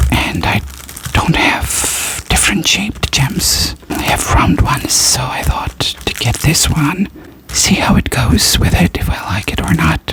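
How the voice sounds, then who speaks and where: The background has noticeable noise. A woman whispers there at a fairly slow pace. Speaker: ASMR creator. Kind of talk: whispered ASMR unboxing haul. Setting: studio, recorded with a Blue Yeti microphone. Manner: soft-spoken, whispering.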